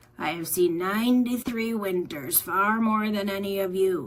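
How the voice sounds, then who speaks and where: Using a put-on character voice, a woman talks at a moderate pace and a medium pitch. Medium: read story. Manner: slow.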